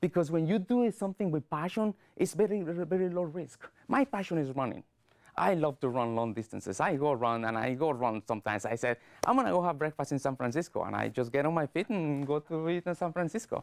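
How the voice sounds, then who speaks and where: In a Latin American accent, a man talks at a very fast pace with a fairly high pitch and very wide pitch swings, the sound dry and close with no echo. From Guatemala. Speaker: public speaker. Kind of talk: speech. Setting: studio. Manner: clipped word endings.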